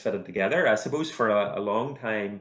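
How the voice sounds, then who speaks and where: A man speaks with an Irish accent. His pitch is medium, with ordinary variation. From Northern Ireland, County Armagh. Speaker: university lecturer in computing and mathematics. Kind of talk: podcast interview. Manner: hesitant, many repetitions.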